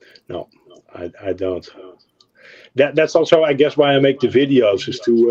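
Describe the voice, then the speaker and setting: This man, with a Dutch accent, talks at a moderate pace in a dry, close sound with no echo. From Netherlands. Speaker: car model painter and video maker. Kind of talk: casual chat. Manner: halting, many fillers.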